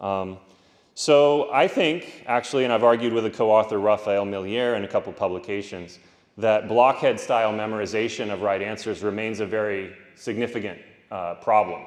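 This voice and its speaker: Pitch varies in an ordinary way while the words come at a moderate pace. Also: man, fairly low pitch for a man. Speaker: philosophy professor giving keynote. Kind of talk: conference keynote lecture. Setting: conference stage with audience. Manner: loud.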